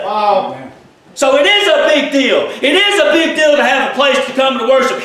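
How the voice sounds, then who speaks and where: A man uses a raised, projected voice with an animated tone and lively intonation. The room echo is audible. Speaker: preacher. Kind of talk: sermon. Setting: church. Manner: animated, fervent preaching with call-and-response; informal, conversational. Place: church. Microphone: camera far.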